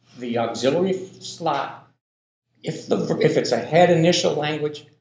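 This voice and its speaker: Speaking at a fairly slow pace with an American accent, a man is heard with audible room echo. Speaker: linguistics professor. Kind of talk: lecture. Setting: classroom. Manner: slow, deliberate pace; halting, many repetitions.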